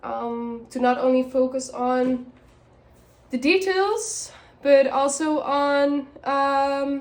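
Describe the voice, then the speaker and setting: A woman speaks with a non-native accent in a high pitch. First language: not English. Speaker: tarot and oracle card reader. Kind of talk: oracle card reading for viewers. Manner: halting, many fillers and restarts.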